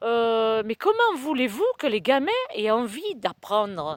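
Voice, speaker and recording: A woman speaks at a very slow pace with very wide pitch swings. The sound is dry and close with no echo, a very clean recording with a silent background. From southern France. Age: 60s. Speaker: vlogger. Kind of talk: casual vlog monologue. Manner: hesitant, many fillers.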